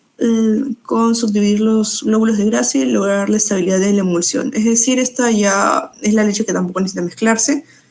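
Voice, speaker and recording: With noticeable background noise around her, a woman speaks at a medium pitch using lively intonation. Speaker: nutrition student tutor. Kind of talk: exam review lecture. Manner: fast.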